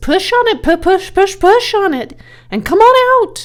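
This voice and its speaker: A female-sounding, put-on character voice comes out squeaky at an extremely high pitch. It moves at a moderate pace. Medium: read story. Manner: repetitive, stammering.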